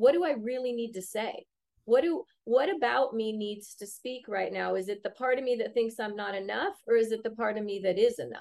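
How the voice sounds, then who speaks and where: A woman talks in a normal speaking voice. Her pitch variation is ordinary. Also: fairly high pitch for a woman, fairly quick pace. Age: 50s. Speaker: addiction recovery company CEO. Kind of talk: casual chat.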